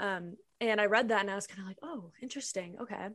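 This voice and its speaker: Against a quiet background, a woman talks in an Upper Midwest accent at a medium pitch. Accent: Upper Midwest American. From Minnesota, small town. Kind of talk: testimony.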